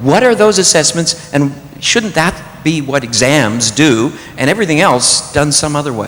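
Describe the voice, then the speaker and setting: A man with a fairly high voice speaks at a moderate pace with lively intonation, amid noticeable background noise and audible room echo. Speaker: audience member asking a question. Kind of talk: Q&A question from audience. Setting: convention hall with audience. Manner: loud.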